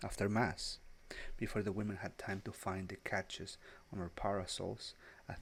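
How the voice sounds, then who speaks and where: A man speaks. His voice is soft-spoken. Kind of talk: English-language literary narration. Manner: soft-spoken, relaxing.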